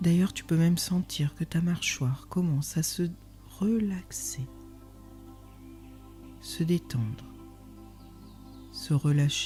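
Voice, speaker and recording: Over music in the background, a woman speaks in a calm tone at a very slow pace with long, frequent pauses. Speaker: meditation guide. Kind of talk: guided meditation. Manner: slow, calm.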